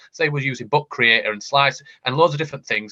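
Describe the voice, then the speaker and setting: A man's very fast delivery in a Yorkshire accent, medium in pitch with ordinary pitch variation, bright and sharp in tone, in a dry, close sound with no echo. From Yorkshire, northern England. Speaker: education technology panelist. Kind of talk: panel discussion. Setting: online video call. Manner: animated, with frequent repetitions.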